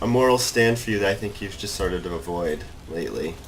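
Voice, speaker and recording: Over noticeable background noise and audible room echo, a man delivers his words at a fairly quick pace. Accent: slight Massachusetts. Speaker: gamer. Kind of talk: casual chat while gaming.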